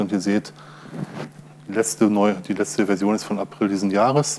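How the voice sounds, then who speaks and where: A man is talking while light noise sits in the background. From Ruhr area, Germany; Germany. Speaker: open source software user and conference speaker; conference speaker. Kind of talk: conference talk. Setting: stage with audience. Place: hall.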